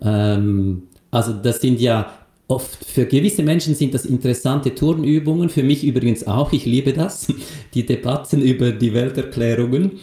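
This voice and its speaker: A man's medium-pitched voice with a Swiss accent, somewhat breathy and dark and mellow in tone, at a moderate pace, with very even loudness and ordinary pitch variation. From Switzerland, Lucerne. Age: 50s. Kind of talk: casual interview.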